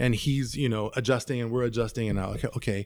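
On a very clean recording with a silent background, a medium-pitched man with an American accent uses an ordinary speaking voice and ordinary pitch variation. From US West Coast, San Francisco Bay Area. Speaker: DJ and music producer. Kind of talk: casual chat.

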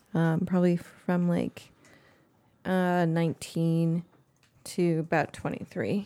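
With an American accent and a fairly low pitch, a woman speaks at a very slow pace. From US West Coast, East San Francisco Bay Area. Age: 20s. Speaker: host's girlfriend. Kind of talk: casual chat.

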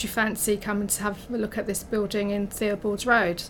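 A woman with a medium pitch speaks in a monotone, flat intonation. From North London. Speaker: office catering manager. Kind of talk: casual interview.

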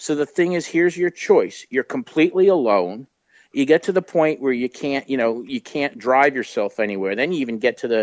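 Recorded with a dry, close sound and no echo, a man with an ordinary speaking voice and fairly high pitch talks at a fairly quick pace with lively intonation. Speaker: guest discussing horror films. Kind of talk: casual interview.

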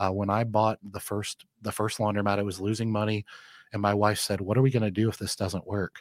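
The speech moves at a fairly quick pace in a Midwestern American accent, on a very clean recording with a silent background. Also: man. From Michigan, Flint. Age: 40s. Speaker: small business owner. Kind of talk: interview. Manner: confident.

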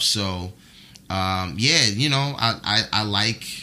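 A man speaks in a New York accent with a bright, sharp tone. His pitch is fairly low. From US Northeast, New York (the Bronx). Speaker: brand marketing manager. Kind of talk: casual chat.

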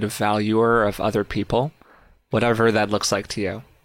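A man talks at a moderate pace with a fairly low pitch and an unremarkable speaking voice. The recording is very clean, with a silent background. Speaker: podcast host and author. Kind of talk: interview conversation.

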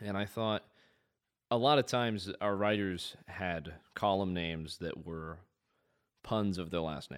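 With a Midwestern American accent, a man with a very deep, low voice speaks at a fairly slow pace with ordinary pitch variation and long, frequent pauses, on a very clean recording with a silent background. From US Midwest, central/northern Indiana. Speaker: student journalist and filmmaker. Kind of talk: casual interview chat.

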